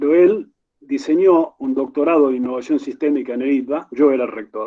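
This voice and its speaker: In an Argentine accent, a man with a fairly high pitch speaks at a moderate pace with ordinary pitch variation. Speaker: university rector, conference moderator. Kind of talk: conference Q&A question. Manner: formal.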